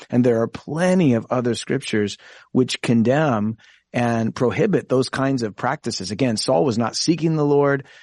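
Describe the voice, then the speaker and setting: A man with a plain, everyday voice, medium pitch and ordinary pitch variation at a moderate pace, in a dry, close sound with no echo against a quiet background. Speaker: pastor and Bible teacher.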